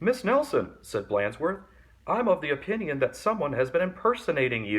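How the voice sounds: A natural reading voice is heard here.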